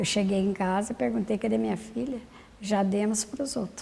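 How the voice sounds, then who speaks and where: Slightly breathy, mid-pitched speech from a woman, dark and mellow in tone. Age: 70s. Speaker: former leprosy colony patient. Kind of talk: testimony.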